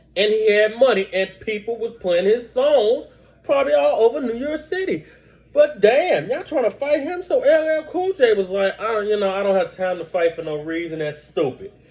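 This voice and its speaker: Loud male voice, high in pitch for a man, with very wide pitch swings. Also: moderate pace. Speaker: book review vlogger. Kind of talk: book review with reading aloud and commentary. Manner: animated.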